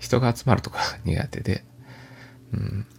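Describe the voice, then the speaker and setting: In a calm tone with vocal fry, a man speaks at a fairly low pitch. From Japan, Aichi (Toyota). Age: 40s. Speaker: podcaster. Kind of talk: casual monologue. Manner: calm, soft-spoken; hesitant, filler-heavy.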